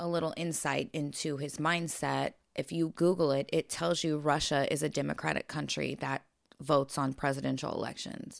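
Very deep and low for a woman, her voice carries vocal fry in a very clean recording with a silent background. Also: moderate pace. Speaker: podcast co-host. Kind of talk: casual chat.

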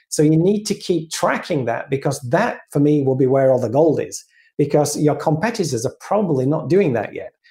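Somewhat breathy and dark, mellow in tone, a man's fairly high-pitched voice moves at a fairly quick pace with lively intonation. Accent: British. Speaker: AI strategy consultant. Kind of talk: casual interview.

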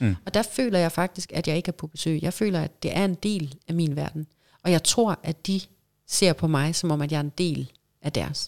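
A woman with a fairly low pitch has an ordinary speaking voice and talks at a moderate pace with ordinary pitch variation. The sound is dry and close with no echo, in a very clean recording with a silent background. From Denmark, Vejle area. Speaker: professional mermaid and actress. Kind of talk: casual interview.

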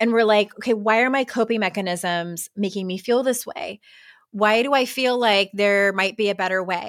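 A woman's ordinary speaking voice, fairly high in pitch, with ordinary pitch variation at a moderate pace, on a very clean recording with a silent background. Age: 40s. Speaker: author and life coach. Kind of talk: interview.

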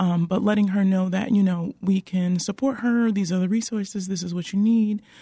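A woman with an American accent talks at a fairly quick pace and medium pitch. Her voice is dark, mellow and somewhat breathy, with fairly even intonation. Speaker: nurse-midwife. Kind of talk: radio interview.

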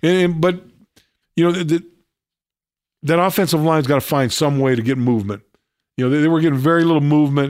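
In a very clean recording with a silent background, a man with a fairly high pitch talks at a very fast pace with very even loudness, ordinary pitch variation and long, frequent pauses. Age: 60s. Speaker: radio host. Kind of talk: casual sports talk. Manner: halting, repeats words.

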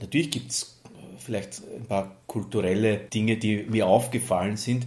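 Here is a man with a plain, everyday voice. His pitch is fairly low, with ordinary variation. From Lower Austria (Neunkirchen). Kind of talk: interview.

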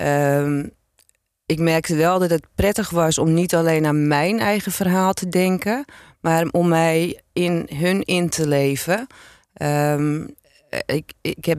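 A woman speaks in a plain, everyday voice, pitched fairly low with ordinary pitch variation. Her loudness stays very even, in a very clean recording with a silent background. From Zaanstreek, Netherlands. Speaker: former police officer and author. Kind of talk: interview.

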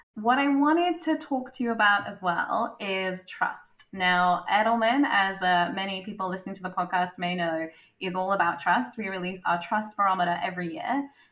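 A woman's plain, everyday voice at a medium pitch and moderate pace, with ordinary pitch variation. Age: 30s. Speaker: corporate strategy director, interviewer. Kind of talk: interview.

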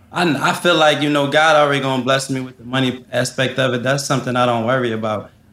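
Against noticeable background noise, a man talks at a very fast pace with hardly any pauses and fairly even intonation. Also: medium pitch for a man. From US Northeast, West Philadelphia. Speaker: restaurant owner. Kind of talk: casual interview.

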